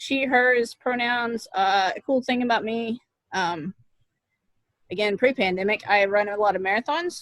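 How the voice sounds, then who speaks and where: In a plain, everyday voice, a woman with an American accent speaks at a moderate pace, her fairly high pitch showing ordinary variation. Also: dry, close sound with no echo. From Oklahoma, US. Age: 30s. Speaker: assistant martial arts instructor. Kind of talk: casual chat.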